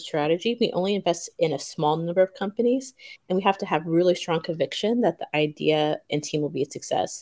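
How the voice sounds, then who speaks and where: A woman speaks at medium pitch and a moderate pace in a very clean recording with a silent background. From US South, Memphis, Tennessee. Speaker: venture capital associate. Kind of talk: podcast interview.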